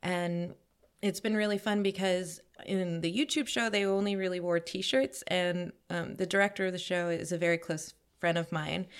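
A woman with an American accent speaks in an ordinary speaking voice at medium pitch. Her intonation is fairly even and her pace moderate. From New York, Queens. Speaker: costume designer. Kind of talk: casual chat.

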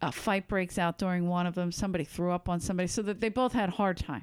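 A woman with a Philadelphia accent talks at a very fast pace, her intonation fairly even and her pitch medium. The recording is very clean, with a silent background. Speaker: stand-up comedian. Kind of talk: casual chat. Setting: in person with host.

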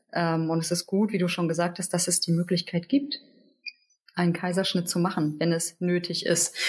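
At a moderate pace, a woman speaks in a plain, everyday voice, fairly low in pitch with fairly even intonation. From Hamburg, northern Germany. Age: 30s. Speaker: midwife. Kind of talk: interview conversation.

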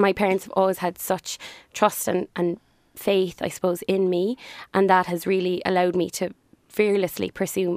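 Speech in a Cork accent at a moderate pace with fairly even intonation, dry and close with no echo. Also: woman. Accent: Cork Irish. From Ireland. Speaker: business owner. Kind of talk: casual interview.

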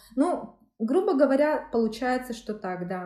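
A woman with a dark, mellow tone uses lively intonation. Her pace is moderate. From Yakutia, Russia. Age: 30s. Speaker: law master's student, former journalist. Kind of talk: interview. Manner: hesitant, with filler sounds.

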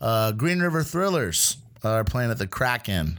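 A man speaks at a moderate pace on a very clean recording, the background silent. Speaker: producer filling in as co-host. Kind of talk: casual chat. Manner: loud, casual.

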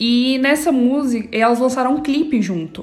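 Noticeable background noise accompanies a woman speaking with a high pitch. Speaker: podcast co-host. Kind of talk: casual chat.

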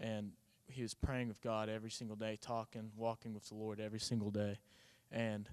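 At a moderate pace, a man speaks with an Oklahoma accent. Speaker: college baseball player. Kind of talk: testimony. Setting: church.

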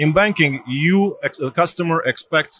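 Here a man speaks with a Romanian accent at a moderate pace. The sound is dry and close with no echo. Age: 30s. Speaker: bank technology executive. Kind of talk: interview. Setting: tech conference.

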